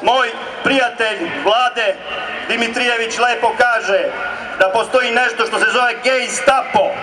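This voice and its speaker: Amid noticeable background noise, a man with a Serbian accent speaks in a raised, projected voice at an extremely high pitch, with fairly even intonation and a fairly slow pace. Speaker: rally speaker, right-wing movement leader. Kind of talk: rally speech, fiery nationalist oratory to a crowd. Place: street.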